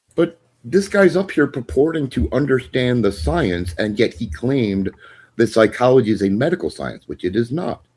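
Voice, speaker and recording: A man's medium-pitched voice with vocal fry, very wide pitch swings, and a moderate pace. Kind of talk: heated debate.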